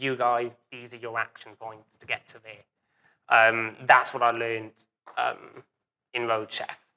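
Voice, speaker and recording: A man with a Welsh accent speaks at a fairly slow pace with long, frequent pauses and monotone, flat intonation. His medium-pitched voice has a bright, sharp tone and big swings in loudness. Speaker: business owner, café and burger restaurant. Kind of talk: live interview. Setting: event with live audience.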